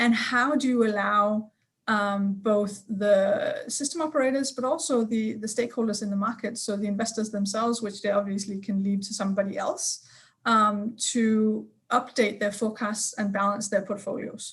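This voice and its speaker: Speaking with a Danish accent, a woman has a fairly high, somewhat breathy voice and a moderate pace. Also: fairly even intonation. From Denmark. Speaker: energy sector expert. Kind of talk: panel discussion.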